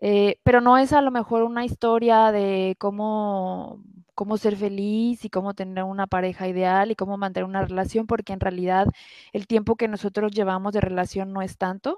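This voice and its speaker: In a very clean recording with a silent background, a woman talks in a monotone with flat intonation. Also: medium pitch for a woman, moderate pace, dry, close sound with no echo. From Mexico, Guadalajara. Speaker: engineer, airline employee. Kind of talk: personal testimony in interview. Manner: hesitant, many fillers.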